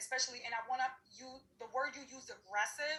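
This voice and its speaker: A woman speaks fairly quickly in a high pitch, her tone animated. Noticeable background noise runs underneath. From New York City, Harlem. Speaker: diversity and inclusion practitioner. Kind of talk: panel discussion.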